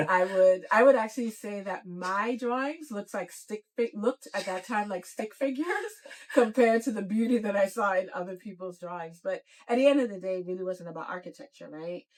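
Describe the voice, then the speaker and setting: A woman with a Virgin Islands accent speaks at a fairly quick pace. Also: medium pitch for a woman, ordinary pitch variation, big swings in loudness. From US Virgin Islands, Saint Thomas. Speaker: nonprofit CEO. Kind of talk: podcast interview. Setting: parked van.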